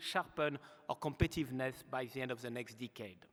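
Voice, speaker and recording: A man at a moderate pace, with a slight French accent. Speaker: aerospace executive. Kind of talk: award acceptance speech. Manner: formal.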